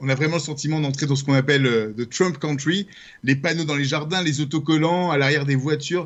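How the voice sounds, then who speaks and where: Speaking at a fairly quick pace, a man talks with a fairly high pitch. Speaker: journalist and documentary maker. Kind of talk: radio interview.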